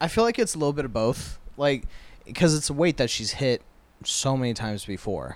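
In a normal speaking voice, a man with an American accent talks at a fairly quick pace with a medium pitch and lively intonation. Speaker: podcast co-host. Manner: casual, joking, profane.

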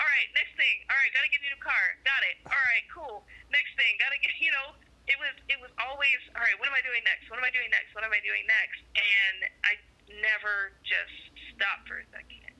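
Bright, sharp tone from a woman speaking at a high pitch. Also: ordinary pitch variation, moderate pace, big swings in loudness. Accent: American. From Arizona. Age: 20s. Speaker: single mother. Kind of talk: casual interview.

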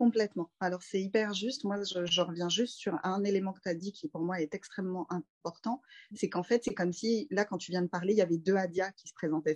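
A woman's normal speaking voice at medium pitch, fairly quick, with ordinary pitch variation, big swings in loudness, and a dry, close sound without echo. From Paris suburbs, France. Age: 30s. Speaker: doula. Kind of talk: casual interview.

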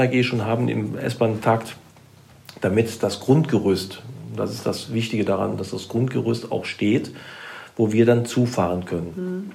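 Amid noticeable background noise and audible room echo, a man speaks fairly slowly at a medium pitch. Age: 60s. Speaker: public transport executive. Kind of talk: interview. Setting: on site at the transport company.

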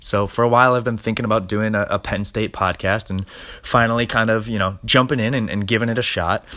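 An American-accented man at a very fast pace, medium in pitch, with a bright, sharp tone. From Long Island, New York. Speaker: college football podcast host. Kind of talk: casual podcast monologue.

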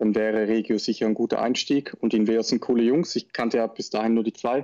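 In a dry, close recording with no echo, a man at medium pitch talks at a moderate pace with a dark, mellow tone and monotone, flat intonation. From northern Switzerland, Schaffhausen. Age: 20s. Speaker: paintball player. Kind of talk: interview.

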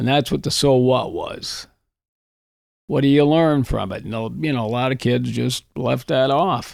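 With an Upper Midwest accent, a man speaks at a fairly slow pace. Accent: Upper Midwest (Minnesota). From northern Minnesota, Iron Range. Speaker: retired high school English teacher. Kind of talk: casual interview.

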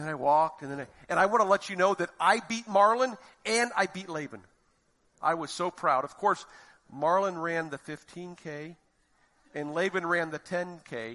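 A man with an American accent and a high pitch speaks at a moderate pace in a bright, sharp tone, with ordinary pitch variation, big swings in loudness, and long, frequent pauses over a quiet background. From Florida, US. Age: 50s. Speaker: lay preacher. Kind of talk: sermon.

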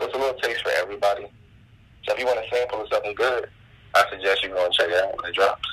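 A man with an American accent talks at a very fast pace, broken up by long, frequent pauses. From New Jersey. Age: 20s. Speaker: rapper. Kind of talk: casual chat.

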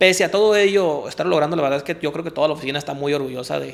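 Fairly high in pitch, a man speaks with an unremarkable speaking voice. His pace is fairly quick and his intonation fairly even. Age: 20s. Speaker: architect and real estate developer. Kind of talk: interview. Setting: office.

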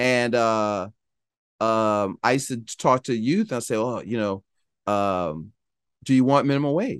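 A man with an American accent speaks at a fairly slow pace and a medium pitch, with ordinary pitch variation, long and frequent pauses, and a quiet background. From Philadelphia. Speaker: financial advisor. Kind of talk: interview.

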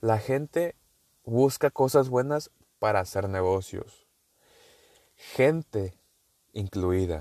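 A man with a northern Mexican accent, very slow with long, frequent pauses, a dark, mellow tone and lively intonation, in a dry, close sound with no echo against a quiet background. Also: medium pitch for a man. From northern Mexico. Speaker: podcaster. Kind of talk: casual monologue. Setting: in a car.

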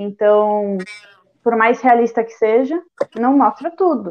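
A woman at a fairly slow pace. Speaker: podcast host. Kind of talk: interview. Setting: video call.

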